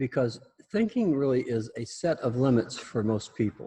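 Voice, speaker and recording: Somewhat breathy, a man talks at a moderate pace. His medium-pitched voice has a dark, mellow tone. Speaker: teacher leading a class. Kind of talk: lecture. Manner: mumbling; halting.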